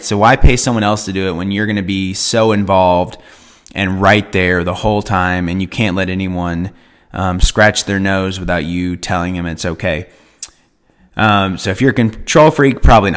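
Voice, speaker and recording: A man with a very deep, low pitch and ordinary pitch variation. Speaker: wedding professional. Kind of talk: live stream talk. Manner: fast.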